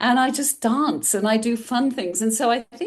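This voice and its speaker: Here a woman speaks with a European accent. Her pace is moderate, and the background is quiet. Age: 60s. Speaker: mindful eating coach. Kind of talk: interview conversation.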